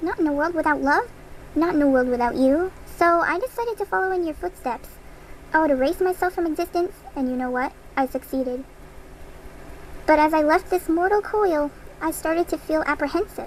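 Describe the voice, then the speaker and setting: A high-pitched, put-on character voice talks at a fairly quick pace with long, frequent pauses over clear background noise. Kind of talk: video game character dialogue. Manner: menacing, mocking.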